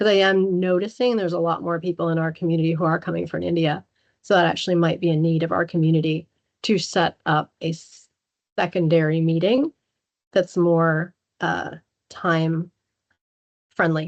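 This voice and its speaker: A woman with a fairly low pitch and fairly even intonation speaks with long, frequent pauses. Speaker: cybersecurity presenter. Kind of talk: online talk Q&A. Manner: fast.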